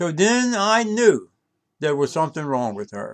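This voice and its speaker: Speaking fairly slowly in a Southern US accent, a man lets his pitch swing very widely. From North Carolina. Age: 80s+. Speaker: vlogger. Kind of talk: personal video monologue.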